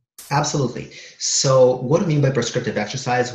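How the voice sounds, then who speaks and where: A man with a medium pitch and a somewhat breathy voice talks at a fairly quick pace. The room echo is audible. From Soviet Union (Kazakhstan), Israel, then Canada from age ten. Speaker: personal trainer and fitness author. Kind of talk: podcast interview.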